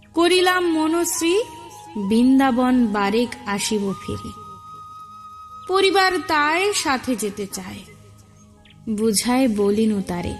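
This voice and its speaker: Music plays behind a woman whose high-pitched voice moves through very wide pitch swings. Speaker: poetry reciter. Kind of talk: poetry reading.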